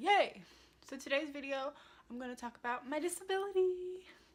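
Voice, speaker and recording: A soft-spoken woman talks at a fairly quick pace. Her voice is high-pitched, with lively intonation. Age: 20s. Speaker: lifestyle vlogger. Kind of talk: casual talk to camera.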